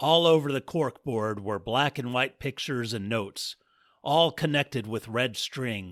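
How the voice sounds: What you hear is a natural reading voice.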